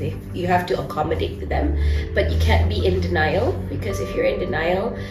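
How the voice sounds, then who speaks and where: A woman talks at a fairly quick pace while clear music plays in the background. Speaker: guest. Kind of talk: interview answer. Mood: earnest, warm, sometimes laughing. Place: studio.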